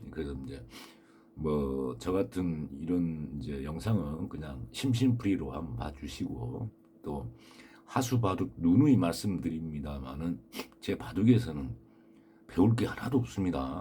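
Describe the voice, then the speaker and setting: A man's very deep, low voice at a fairly slow pace, with very wide pitch swings and big swings in loudness. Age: 60s. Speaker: amateur baduk youtuber. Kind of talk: casual monologue. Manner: hesitant, many fillers.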